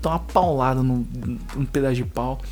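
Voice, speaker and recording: With audible room echo and noticeable background noise around him, a man talks at a moderate pace. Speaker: podcast co-host, coffee entrepreneur. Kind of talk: casual chat. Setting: home studio room. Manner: animated.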